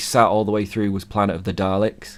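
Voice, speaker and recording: A man with an English accent speaks at a moderate pace in a fairly low pitch. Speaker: video podcast co-host. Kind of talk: casual chat.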